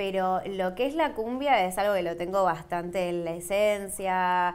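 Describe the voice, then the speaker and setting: A woman speaks at a medium pitch with ordinary pitch variation. Her pace is fairly slow. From Argentina. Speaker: cumbia singer; interviewee. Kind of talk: interview. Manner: halting, many fillers and repetitions. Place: studio.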